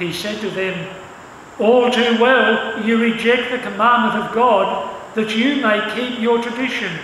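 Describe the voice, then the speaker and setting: A man at an extremely high pitch, fairly slow and with fairly even intonation, over noticeable background noise. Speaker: church service announcer and scripture reader. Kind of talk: announcements and scripture reading. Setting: church.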